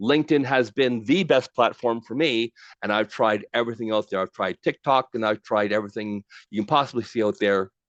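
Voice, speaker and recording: Dry and close with no echo, a man talks at a fairly quick pace and medium pitch with ordinary pitch variation. He has an unremarkable speaking voice, and the background is quiet. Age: 60s. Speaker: LinkedIn trainer. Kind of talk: webinar presentation. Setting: online webinar with chat.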